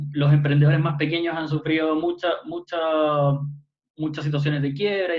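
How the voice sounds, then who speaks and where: Monotone, flat intonation carries speech delivered at a very fast pace. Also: man. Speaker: youth panelist. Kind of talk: online panel discussion. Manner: halting, many fillers.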